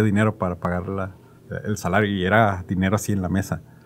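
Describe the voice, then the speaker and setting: Faint music plays in the background as a man with a fairly low pitch speaks in a monotone, flat intonation. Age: 30s. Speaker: podcast host. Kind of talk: casual interview chat. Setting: studio. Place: studio. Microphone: studio mic.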